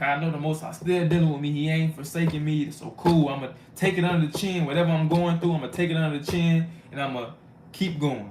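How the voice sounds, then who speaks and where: With audible room echo and noticeable background noise, a man speaks fairly quickly at a fairly high pitch with fairly even intonation. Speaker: street preacher / bible teacher. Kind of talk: sermon. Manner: fast; casual, conversational.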